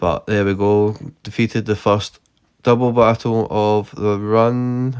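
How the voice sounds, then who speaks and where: In a strong Scottish accent, a man speaks at a fairly low pitch with fairly even intonation. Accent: thick Scottish. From Scotland. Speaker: gaming YouTuber. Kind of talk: gameplay commentary. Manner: monotone; unscripted, hesitant.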